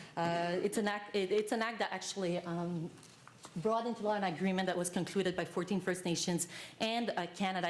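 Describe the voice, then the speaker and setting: At a fairly quick pace, a woman talks at a medium pitch with fairly even intonation, and audible room echo surrounds her voice. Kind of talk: conference panel presentation. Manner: fast; halting, many fillers.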